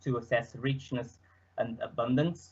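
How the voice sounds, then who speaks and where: A man with a Portuguese accent talks at a fairly slow pace in a somewhat breathy voice with ordinary pitch variation. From Portugal. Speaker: student presenter; presenter. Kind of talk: presentation. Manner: hesitant, many fillers. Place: home room.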